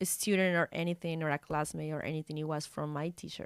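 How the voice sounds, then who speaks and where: A woman with a Spanish accent is heard in a very clean recording with a silent background and a dry, close sound with no echo. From Colombia. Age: 20s. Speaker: model and journalist. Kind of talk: casual interview chat. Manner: halting.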